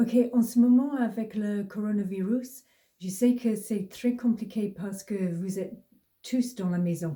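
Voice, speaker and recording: In a strong British accent, a woman speaks very slowly with a fairly high pitch, a dark, mellow tone and a somewhat breathy sound. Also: ordinary pitch variation. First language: English (speaking French). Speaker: mindfulness teacher. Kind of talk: casual tutorial. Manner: halting, with hesitations and repeated words.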